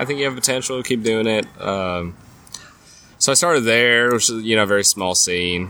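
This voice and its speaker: Noticeable background noise sits behind a man talking at a moderate pace, his medium-pitched voice full of lively intonation. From Nashville, Tennessee, moved from California at ten. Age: 30s. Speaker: comedian. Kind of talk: casual chat. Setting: outdoors at a pub.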